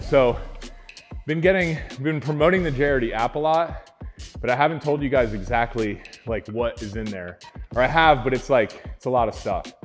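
A man speaks at a moderate pace. Faint music can be heard in the background. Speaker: fitness instructor. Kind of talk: workout follow-along coaching. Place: gym. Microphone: lapel.

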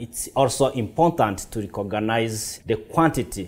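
A man talks fairly slowly. Nothing much sounds behind him. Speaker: chef instructor. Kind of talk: tutorial. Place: kitchen.

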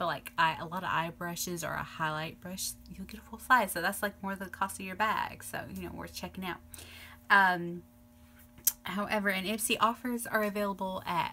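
Over faint background music, a woman talks at a moderate pace with fairly even intonation. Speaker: beauty vlogger. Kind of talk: casual vlog chat. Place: home room. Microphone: phone near.

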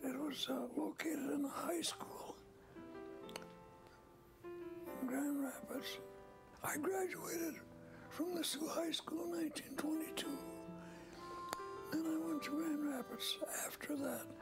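A man talks fairly slowly while clear music sounds in the background. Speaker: retired judge and former state legislator. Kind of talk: interview answer. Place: home room.

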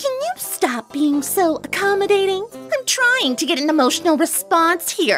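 Over faint background music, a cartoonish character voice that sounds female talks at a moderate pace at an extremely high pitch. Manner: brash, theatrical.

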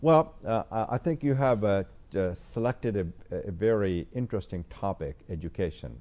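A man's fairly low-pitched voice, dark and mellow in tone, with very wide pitch swings at a moderate pace. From India, Uttar Pradesh (Azamgarh). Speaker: entrepreneur and philanthropist. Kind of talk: interview. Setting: TV studio. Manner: halting, with frequent fillers and repetitions. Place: studio. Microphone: lapel.

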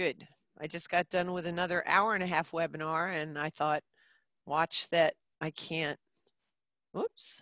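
In a dry recording with no echo and a quiet background, a woman with a fairly low pitch speaks fairly slowly in a bright, sharp tone, her delivery flat and monotone with long, frequent pauses. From New Jersey. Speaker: middle school teacher. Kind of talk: webinar presentation. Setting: video call. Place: classroom. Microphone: headset.

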